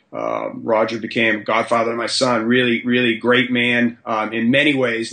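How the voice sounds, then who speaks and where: The speech runs on with hardly any pauses. Noticeable background noise sits behind it. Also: man. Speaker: high school strength and conditioning coach. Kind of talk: podcast interview. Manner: halting, many fillers and repetitions.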